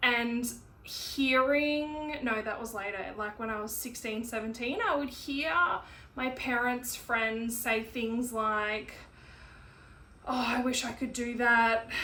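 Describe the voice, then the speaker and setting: Amid noticeable background noise and audible room echo, a woman speaks very slowly in a high pitch with fairly even intonation. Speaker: podcaster. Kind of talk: personal monologue. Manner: halting.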